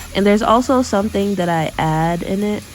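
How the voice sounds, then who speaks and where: A woman talks at moderate speed, her pitch moving normally, as clear background noise carries on behind her. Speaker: cooking vlogger. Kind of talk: voiceover narration of cooking video. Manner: casual, filler-heavy; stumbles over words.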